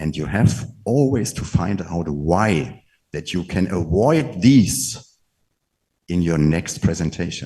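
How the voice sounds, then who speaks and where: Very slow and very deep, a man's voice has a dark, mellow tone and lively intonation. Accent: German. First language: German. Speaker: network marketing leader. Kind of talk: motivational talk.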